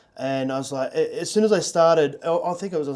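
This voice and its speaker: The talking goes at a very fast pace. Background noise is noticeable throughout. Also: man. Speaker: podcast host. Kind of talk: casual interview chat. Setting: studio.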